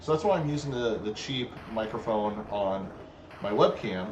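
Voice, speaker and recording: A man with a medium-pitched voice is heard over noticeable background noise, with audible echo from the room. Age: 40s. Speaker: gaming streamer. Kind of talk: live stream commentary while gaming. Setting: home live stream. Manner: casual, halting with fillers. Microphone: cheap webcam microphone.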